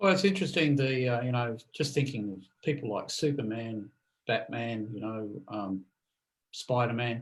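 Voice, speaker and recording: A normal speaking voice from a man, medium in pitch, with lively intonation. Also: moderate pace. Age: 60s. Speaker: podcast co-host. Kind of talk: casual chat.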